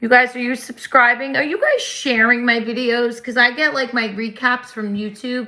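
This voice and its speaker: Over noticeable background noise, a woman with a New Jersey accent speaks at a moderate pace with fairly even intonation. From New Jersey, US. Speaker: livestream host. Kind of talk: casual chat. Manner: loud.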